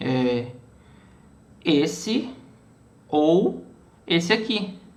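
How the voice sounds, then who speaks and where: Audible room echo hangs around a man's speech. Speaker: student teaching a class lab session. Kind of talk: online class tutorial. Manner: halting, many repetitions and fillers.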